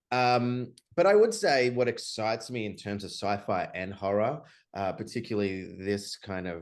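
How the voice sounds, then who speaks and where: A man with an Australian accent and a fairly low pitch, at a fairly slow pace against a quiet background. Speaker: film director. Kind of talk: interview. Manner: many filler words and hesitations.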